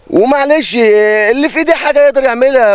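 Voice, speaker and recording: The man's pitch is extremely high. He speaks at a fairly quick pace. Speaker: fisherman. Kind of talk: interview. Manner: loud.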